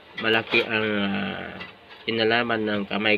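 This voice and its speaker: At a fairly slow pace, a man speaks in a flat monotone at a fairly low pitch, with noticeable background noise behind him. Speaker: coin collector vlogger. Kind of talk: casual vlog talk. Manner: hesitant, many fillers. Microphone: cheap cellphone.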